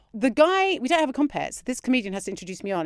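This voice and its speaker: A woman with a southern English accent talks at a very fast pace in a high, animated voice with very wide pitch swings. The sound is dry and close with no echo, on a very clean recording with a silent background. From London suburbs. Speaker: comedian. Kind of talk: casual chat, anecdote. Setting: podcast.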